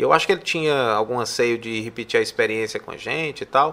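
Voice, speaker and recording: This man has a bright, sharp tone at medium pitch, speaking at a fairly quick pace with ordinary pitch variation. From Fortaleza, Ceará, Brazil. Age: 40s. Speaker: public health researcher and professor. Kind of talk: interview conversation. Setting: studio.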